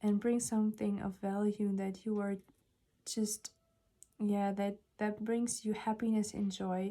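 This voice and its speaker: A woman with a non-native accent talks at a fairly slow pace, with long, frequent pauses. Her medium-pitched voice has a dark, mellow tone and a monotone, flat intonation. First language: not English. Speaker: tarot reader. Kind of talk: tarot reading monologue. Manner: hesitant, many fillers.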